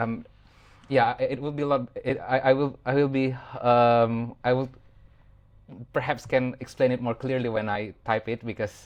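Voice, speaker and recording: At a moderate pace, a man speaks in a flat monotone at a medium pitch, with long, frequent pauses. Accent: non-native. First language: not English. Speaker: podcast host. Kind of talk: casual interview. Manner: halting, many fillers.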